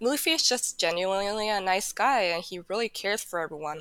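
A woman with a Japanese accent talks at a medium pitch with ordinary pitch variation. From Japan and New Mexico, US. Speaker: former foundation program officer. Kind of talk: casual chat.

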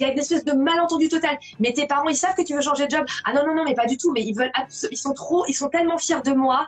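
Delivered at a very fast pace, the speech has ordinary pitch variation. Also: woman, high pitch for a woman. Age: 40s. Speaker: blogger and author on well-being. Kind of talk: live interview. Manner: repeats words when starting sentences.

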